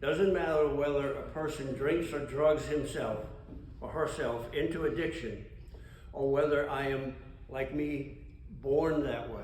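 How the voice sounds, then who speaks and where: A man's fairly high voice at a fairly slow pace, with audible room echo and noticeable background noise. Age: 80s+. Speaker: AA speaker, recovering alcoholic. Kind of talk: testimony. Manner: conversational.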